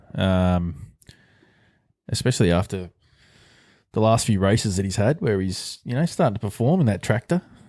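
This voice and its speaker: In an Australian accent, a dark, mellow voice moves with lively intonation and long, frequent pauses. The recording is very clean, with a silent background. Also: man, fairly low pitch for a man, moderate pace. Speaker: podcast co-host. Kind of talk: casual chat. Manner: animated.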